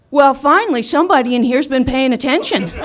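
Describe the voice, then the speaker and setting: In a put-on character voice, a woman talks loud, gruff and very fast at a high pitch with lively intonation. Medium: stage play.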